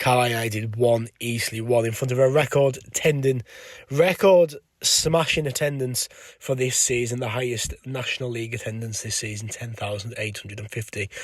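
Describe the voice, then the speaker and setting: On a very clean recording with a silent background, a man talks in a somewhat breathy voice with ordinary pitch variation. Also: medium pitch for a man, moderate pace, big swings in loudness. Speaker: football fan vlogger. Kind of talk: match review vlog. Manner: casual, hesitant with fillers.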